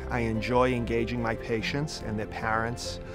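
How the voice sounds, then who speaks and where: A man with a Boston accent at a moderate pace, music playing in the background. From Boston, Massachusetts. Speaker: pediatric gastroenterologist. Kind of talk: interview answer.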